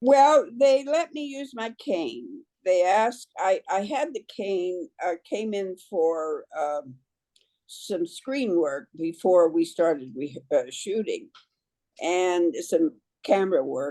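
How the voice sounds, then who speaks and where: A woman's medium-pitched voice, dark and mellow, very slow, with very wide pitch swings. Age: 80s+. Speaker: actor. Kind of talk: interview answer.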